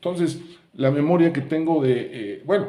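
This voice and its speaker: A man's tone is dark and mellow. He goes at a moderate pace, and the room echo is audible. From Mexico, Puebla. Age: 70s. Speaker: YouTuber sharing memories. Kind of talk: casual monologue, reminiscing.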